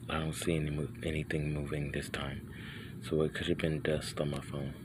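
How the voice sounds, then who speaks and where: In a room with audible echo, a man with a very deep, low voice talks fairly quickly in a flat monotone. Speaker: video blogger filming night sky. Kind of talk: casual handheld video narration. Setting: outdoors at night in driveway. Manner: halting, self-interrupting; whispering.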